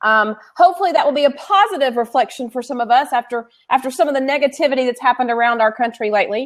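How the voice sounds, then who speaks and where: A woman's high-pitched voice moves with lively intonation and hardly any pauses. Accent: slight Southern. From Tennessee. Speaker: co-host, education consultant. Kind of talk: casual chat.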